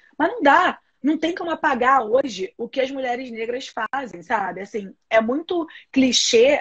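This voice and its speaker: Animated in tone, a woman talks in a high voice with lively intonation. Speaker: activist and institute director. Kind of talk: interview conversation.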